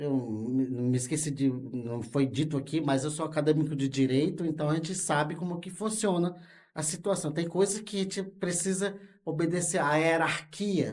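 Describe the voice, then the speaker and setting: Somewhat breathy, a man with a fairly high pitch speaks at a moderate pace with ordinary pitch variation. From Brazil, Rondônia (Amazon). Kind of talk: interview. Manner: halting, with fillers.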